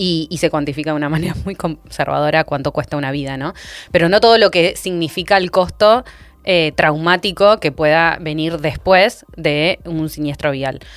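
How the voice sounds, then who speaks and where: This woman's pitch is very deep and low, with ordinary variation. She speaks at a moderate pace. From Argentina. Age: 30s. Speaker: urban cycling expert. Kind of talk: podcast interview discussion. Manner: halting with frequent repetitions.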